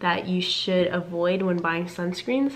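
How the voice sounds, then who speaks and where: This woman speaks at a medium pitch with monotone, flat intonation. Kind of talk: casual talk to camera.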